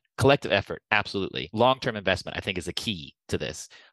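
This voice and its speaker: Speaking very fast with an American accent, a man shows vocal fry against a quiet background. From United States. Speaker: urban design executive. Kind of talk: casual interview.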